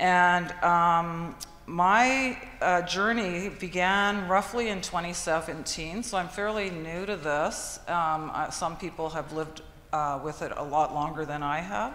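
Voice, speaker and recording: A woman speaks at a fairly slow pace in a Canadian accent, her voice fairly low-pitched with ordinary pitch variation. Audible room echo and noticeable background noise surround her. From Canadian Prairies, Manitoba. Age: 60s. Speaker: patient partner, retired social worker. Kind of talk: personal testimony.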